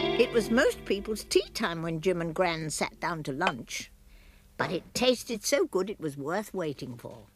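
Over music in the background, a woman with a fairly low pitch talks at a fairly slow pace, her voice making very wide pitch swings. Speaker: voice actor. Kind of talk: children's story narration. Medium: cartoon.

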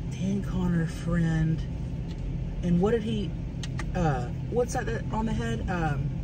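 Very slow speech over loud background noise. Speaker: vlogger. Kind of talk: casual vlog chat. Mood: playful, joking.

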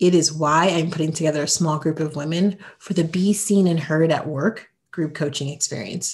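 A somewhat breathy woman's voice, fairly low in pitch. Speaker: podcast host and career coach. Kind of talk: interview.

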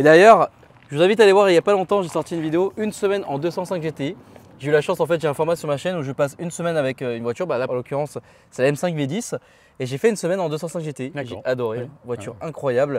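The speech comes at a very fast pace, with a dry sound and no echo. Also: man. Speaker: car video host. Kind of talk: casual interview chat. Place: street. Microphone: lapel.

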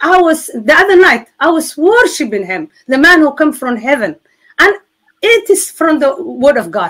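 A woman with a Somali accent speaks at a moderate pace in a high pitch, swinging very widely in pitch over a quiet background. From Somalia. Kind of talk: testimony.

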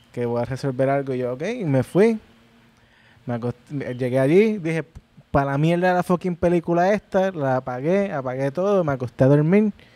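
A man's fairly high, dark and mellow voice with a Puerto Rican accent, ordinary pitch variation, and a fairly quick pace. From Puerto Rico. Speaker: musician; podcast guest. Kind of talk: casual chat. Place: home room. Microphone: handheld.

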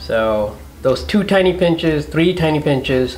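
With faint music behind him, a man speaks with ordinary pitch variation. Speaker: home cook host. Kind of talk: tutorial. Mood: warm, explanatory. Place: home room.

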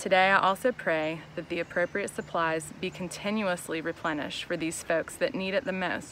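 A woman speaks at a moderate pace in a fairly low voice with a warm, gentle tone and fairly even intonation. The sound is dry with no echo, with light background noise. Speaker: church staff member and youth small group leader. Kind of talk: fervent prayer for healthcare workers, earnest and heartfelt, then closing encouragement. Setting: video message recorded for online audience. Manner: earnest; warm, sincere, gentle. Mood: earnest, gentle, reverent. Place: garden. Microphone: phone near.

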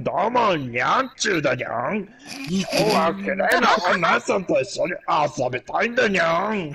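A man puts on a character voice pitched high for a man. He keeps a moderate pace. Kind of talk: cutesy, with cat-like ending 'nyan'. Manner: playful, flirtatious impression.

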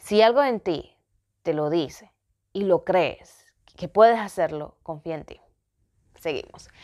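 A woman speaks at a very slow pace in a dark, mellow tone, with big swings in loudness. The background is quiet. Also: medium pitch for a woman, lively intonation. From Ecuador. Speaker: vlogger. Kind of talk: personal vlog storytelling. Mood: reflective, personal storytelling. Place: home room. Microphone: phone near.

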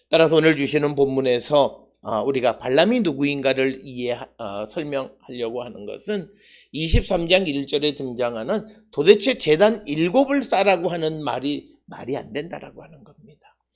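A man talks at a fairly slow pace and a fairly high pitch. His intonation is lively, and his loudness swings widely. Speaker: pastor and former Old Testament professor. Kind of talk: sermon. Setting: church, early morning service. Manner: hesitant, many filler sounds.

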